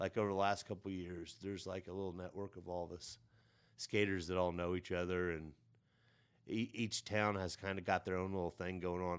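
Very deep and low, a man's voice with a Midwestern American accent moves at a fairly quick pace in monotone, flat intonation on a very clean recording with a silent background. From southern Illinois. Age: 40s. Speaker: skateboarder. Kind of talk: casual chat. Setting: studio.

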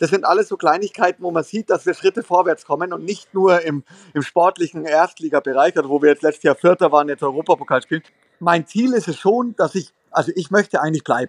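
Speaking at a very fast pace, a man uses a high pitch with ordinary pitch variation in a dry, close sound with no echo. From Lower Bavaria (Straubing). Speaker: volleyball head coach. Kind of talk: casual interview. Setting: remote call from hotel lobby.

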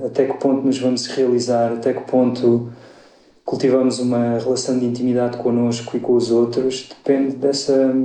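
A man's medium-pitched voice in a flat monotone, with noticeable background noise and audible room echo. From Portugal, Alentejo (Évora). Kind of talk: podcast interview. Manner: hesitant, many fillers.

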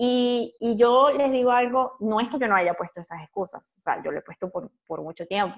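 Fairly high-pitched, a woman with an unremarkable speaking voice talks at a moderate pace with lively intonation and hardly any pauses, recorded dry and close with no echo. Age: 30s. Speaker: podcast co-host and YouTuber. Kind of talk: casual chat.

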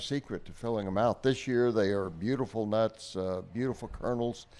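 Over a quiet background, a man talks with a Texan accent at a medium pitch. His pace is moderate, with ordinary pitch variation. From Kerrville, Texas Hill Country. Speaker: pecan grower. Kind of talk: casual chat.

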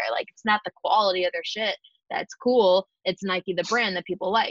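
A woman with an American accent and an unremarkable speaking voice talks at a fairly quick pace with ordinary pitch variation. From US Northeast, Buffalo, New York. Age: 20s. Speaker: community founder and entrepreneur. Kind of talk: casual interview chat.

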